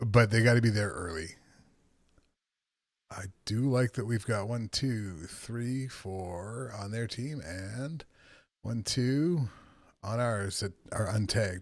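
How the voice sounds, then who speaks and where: A man talks at a very slow pace with long, frequent pauses on a very clean recording with a silent background. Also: medium pitch for a man, ordinary pitch variation. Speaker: video game streamer. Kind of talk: live gameplay commentary. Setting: home office. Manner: soft-spoken.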